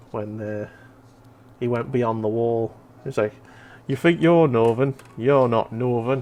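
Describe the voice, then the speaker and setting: With a slight Merseyside accent, a man at a medium pitch talks fairly slowly, with long, frequent pauses and ordinary pitch variation. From Merseyside, England. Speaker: streamer. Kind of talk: casual chat. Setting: live stream.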